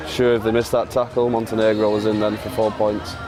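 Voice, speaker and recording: Noticeable background noise and audible room echo surround this recording. A man speaks at a fairly quick pace with a fairly low pitch. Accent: Lancashire. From northern England, Wigan. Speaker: rugby league commentator. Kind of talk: live commentary. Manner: animated.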